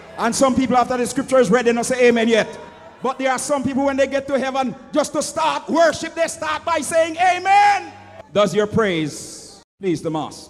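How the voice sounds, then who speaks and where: A man is shouting at an extremely high pitch, animated, with lively intonation. Noticeable background noise runs underneath. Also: moderate pace. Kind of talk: sermon. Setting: church with congregation. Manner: animated, call-and-response preaching, rhetorical questions to the congregation; loud, impassioned, urging the congregation to answer.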